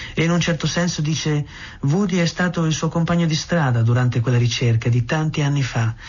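Someone talks at a very fast pace with an Italian accent. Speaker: radio host. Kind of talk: radio presenter introducing a segment.

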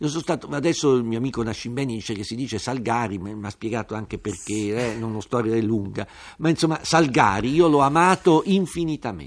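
In an ordinary speaking voice, a man talks fairly quickly at medium pitch with lively intonation. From Turin, northern Italy. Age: 50s. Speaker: writer and journalist. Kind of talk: radio interview.

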